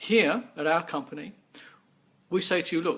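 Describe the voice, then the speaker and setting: Here a man talks at a moderate pace with a slight English accent. His pitch is high, with ordinary pitch variation. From England. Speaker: business owner. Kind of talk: sales pitch.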